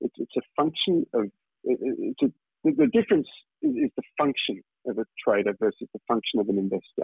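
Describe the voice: A man speaks at a fairly quick pace and a medium pitch, with very wide pitch swings, vocal fry and a slightly husky edge. The sound is dry and close, with no echo.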